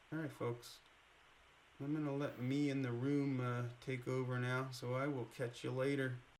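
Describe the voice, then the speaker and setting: The speech is monotone and flat in intonation, delivered at a moderate pace with audible room echo. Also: man, medium pitch for a man. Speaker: artist and video creator. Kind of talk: casual monologue to camera. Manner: casual, profane.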